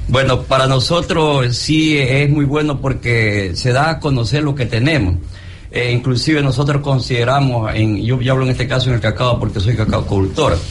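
A man of medium pitch speaks at a moderate pace. Noticeable background noise and audible room echo are present. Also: ordinary pitch variation, very even loudness. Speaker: cocoa farmer. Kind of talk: radio interview. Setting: live broadcast at a fair. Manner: halting.

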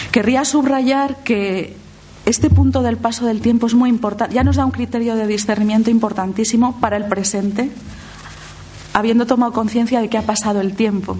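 Over noticeable background noise and audible room echo, a woman speaks at a moderate pace with a fairly high pitch and fairly even intonation. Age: 50s. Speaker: lay theologian and speaker. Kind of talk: lecture.

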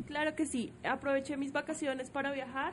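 Fairly quick in pace, a woman speaks at a high pitch with fairly even intonation. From Bogotá, Colombia. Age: 20s. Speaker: guest. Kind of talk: children's radio show chat.

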